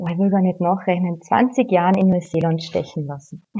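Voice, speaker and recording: A woman speaks with a Carinthian accent. Her pitch is medium and her pace moderate. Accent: Austrian German, Carinthian. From Austria, Carinthia. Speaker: yoga teacher. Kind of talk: casual interview chat.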